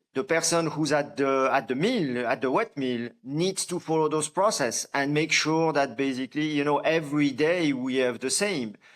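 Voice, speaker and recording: With a French accent, a man speaks at a moderate pace, hardly pausing, his fairly high voice showing ordinary pitch variation. The recording is very clean, with a silent background. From France. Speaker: coffee farmer and company founder. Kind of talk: podcast interview. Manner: hesitant, many fillers and restarts.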